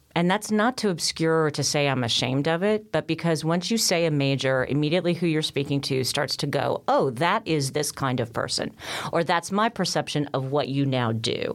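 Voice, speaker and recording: A woman's very deep, low pitch with lively intonation, a fairly quick pace, hardly any pauses and very even loudness. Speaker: university academic engagement director. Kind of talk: panel discussion on career success.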